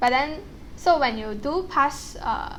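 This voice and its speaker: A woman speaks with a strong non-native accent. She goes at a fairly slow pace. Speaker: actuarial science student. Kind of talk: casual talk to camera.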